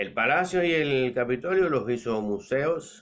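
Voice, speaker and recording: The speaker uses lively intonation with a Cuban accent. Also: man. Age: 60s. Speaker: political commentator. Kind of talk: political monologue. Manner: halting, with repeated words.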